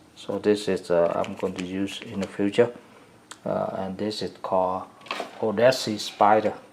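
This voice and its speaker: A man speaks at a moderate pace with a fairly low pitch and a flat, monotone delivery. His loudness swings widely, and noticeable background noise is present. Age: 60s. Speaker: hobbyist fly tyer. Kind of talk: casual product demo. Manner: halting, many fillers.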